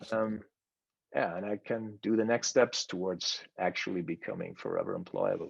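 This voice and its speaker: A man with a German accent over a quiet background. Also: moderate pace. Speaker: course participant. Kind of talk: presentation. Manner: halting, many fillers and repetitions.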